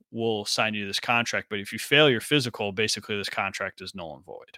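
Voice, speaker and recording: Recorded dry and close with no echo on a very clean track with a silent background, a man with an American accent speaks at medium pitch in a bright, sharp tone. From US Midwest, Chicago area. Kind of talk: casual chat.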